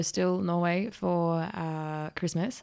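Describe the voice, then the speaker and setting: In a nervous tone, a woman with a slight Australian accent speaks in a monotone, flat intonation at a fairly low pitch. The recording is very clean, with a silent background. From Melbourne, Australia. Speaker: exchange student. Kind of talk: casual chat.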